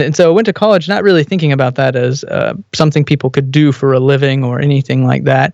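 A man's plain, everyday voice, fairly high for a man and fairly quick, in a dry, close sound with no echo. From Texas. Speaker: business consultant and theologian. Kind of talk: casual interview.

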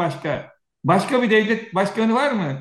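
The voice belongs to a man with a high pitch. His pitch variation is ordinary. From Turkey, Aegean region (Söke). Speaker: retired air force officer and security analyst. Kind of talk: interview. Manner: animated.

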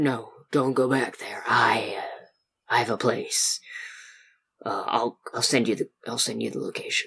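A man puts on a raspy character voice. His pace is moderate. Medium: actual play.

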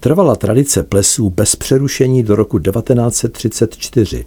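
Vocal fry runs through a man's dark, mellow tone as he speaks at a fairly slow pace. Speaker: music journalist. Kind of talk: scripted narration.

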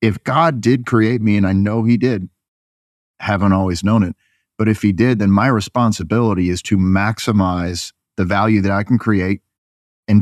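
Over a quiet background, in a dry, close sound with no echo, a man uses an ordinary speaking voice at a fairly low pitch, a moderate pace and a fairly even intonation. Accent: American. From upstate New York. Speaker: advertising agency executive. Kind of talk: casual interview.

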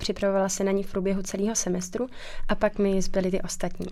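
A woman talks very fast at medium pitch with monotone, flat intonation. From Czech Republic, Krkonoše. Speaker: dental student. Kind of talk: interview.

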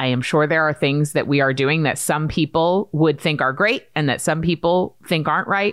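A woman's very deep, low voice with an American accent, ordinary pitch variation, very even loudness, and a moderate pace. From US Northeast, Maine. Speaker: podcast host and entrepreneur. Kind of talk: casual chat.

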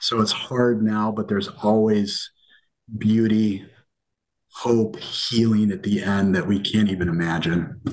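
In an American accent, a man with a plain, everyday voice speaks fairly slowly at a fairly low pitch. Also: ordinary pitch variation. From US Mountain West. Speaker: family minister. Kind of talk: casual chat.

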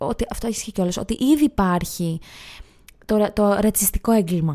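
A woman speaks at a moderate pace with a dark, mellow tone. Her medium pitch has lively intonation. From northern Greece, Edessa. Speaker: comedian and YouTuber. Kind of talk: casual chat.

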